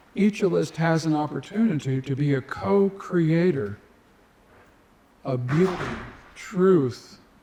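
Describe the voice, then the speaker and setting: A man talks very slowly in a fairly high pitch. Noticeable background noise runs under his voice. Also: long, frequent pauses. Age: 70s. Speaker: nonprofit founder. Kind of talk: conference talk.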